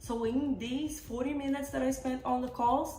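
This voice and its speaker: A woman with a non-native accent speaks at a fairly high pitch and fairly quick pace. Noticeable background noise and audible room echo are present. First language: not English. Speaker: vlogger sharing work experience. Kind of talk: casual storytelling monologue.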